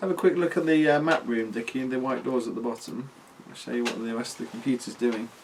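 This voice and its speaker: Noticeable background noise behind a man of medium pitch, with ordinary pitch variation, a very fast pace and big swings in loudness. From Britain. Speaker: game adviser, ukulele teacher. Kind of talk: casual gaming chat.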